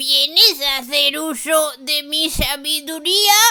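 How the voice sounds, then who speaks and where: A soft-spoken, female-sounding put-on character voice, high in pitch, at a very slow pace. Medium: read story.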